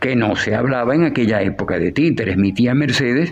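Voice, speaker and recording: This man's medium-pitched voice shows ordinary pitch variation, with noticeable background noise behind it. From Venezuela, Maracaibo (Zulia). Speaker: puppeteer and writer. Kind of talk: interview.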